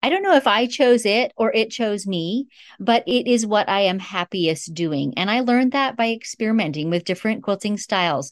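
In a very clean recording with a silent background and a dry, close sound with no echo, a woman with an unremarkable speaking voice talks at a moderate pace, with fairly high pitch and lively intonation. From northern Canada. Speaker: long arm quilter and quilting teacher. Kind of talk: interview.

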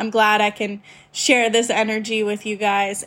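Her pace stays moderate. The woman's voice sits fairly high. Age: 20s. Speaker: podcast host. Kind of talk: solo casual talk. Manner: halting, long pauses while thinking.

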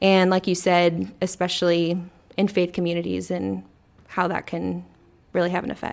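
Flat, monotone delivery from a woman with an American accent, fairly low in pitch, at a moderate pace, on a very clean recording with a silent background. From Texas, Corpus Christi. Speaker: podcast co-host, marketing specialist. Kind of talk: casual chat.

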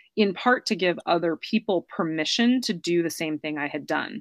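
In an American accent and a normal speaking voice, a woman talks at a moderate pace with ordinary pitch variation, recorded dry and close with no echo on a very clean track with a silent background. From United States. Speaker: author. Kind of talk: interview.

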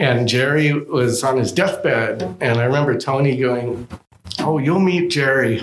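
A man with an American accent speaks at a fairly slow pace in a medium pitch, his loudness very even and his pitch variation ordinary, with audible room echo. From Southern California. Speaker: double bass player and luthier. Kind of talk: casual interview chat. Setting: music store showroom.

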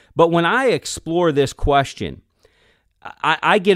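A man talks in an energetic, intense tone with lively intonation. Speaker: podcast host, leadership coach. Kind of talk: solo monologue podcast.

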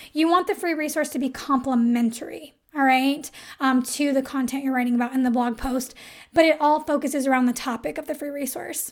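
A woman with a high pitch speaks at a fairly quick pace and with fairly even intonation on a very clean recording with a silent background. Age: 30s. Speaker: podcast host, copywriter. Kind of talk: solo podcast tutorial. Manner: casual, filler-heavy.

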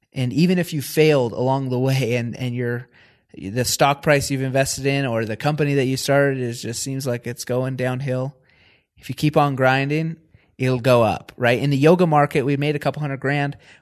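In a quiet background, a man with an American accent speaks at a medium pitch and moderate pace, his intonation fairly even, in an ordinary speaking voice. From Washington State, US. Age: 20s. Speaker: entrepreneur. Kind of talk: interview.

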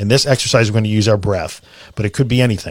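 In a very clean recording with a silent background, a man uses an ordinary speaking voice, fairly low in pitch, with fairly even intonation. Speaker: podcast host guiding a relaxation exercise. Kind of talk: guided meditation, relaxation tutorial. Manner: instructional, with pauses and repetition.

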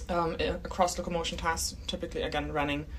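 A woman with a German accent speaks at a fairly quick pace. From Germany. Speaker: biomechanics researcher and PhD candidate. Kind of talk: interview, casual explanatory chat. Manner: laughs often, friendly.

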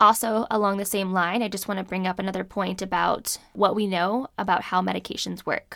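A woman with an American accent and vocal fry, at a moderate pace, on a very clean recording with a silent background. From California. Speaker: physician and podcast host. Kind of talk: solo podcast monologue on medicine.

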